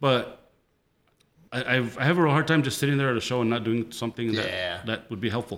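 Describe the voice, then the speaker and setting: With an American accent, a man talks fairly quickly at a medium pitch with ordinary pitch variation, on a very clean recording with a silent background. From El Paso, Texas (Lower Valley). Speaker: photographer. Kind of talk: casual chat. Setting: home metal shop.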